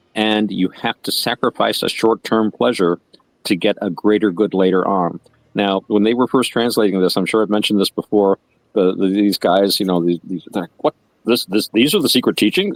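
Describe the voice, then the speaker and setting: A man with an unremarkable speaking voice, fairly low in pitch, at a moderate pace, in a dry, close sound with no echo. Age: 60s. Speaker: podcast co-host. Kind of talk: casual discussion. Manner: relaxed, conversational with many fillers.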